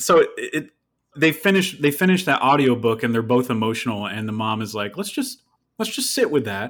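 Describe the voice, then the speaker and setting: On a very clean recording with a silent background, a man with an American accent speaks fairly quickly in a normal speaking voice with medium pitch and lively intonation. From upstate New York. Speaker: singer-songwriter. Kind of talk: casual chat.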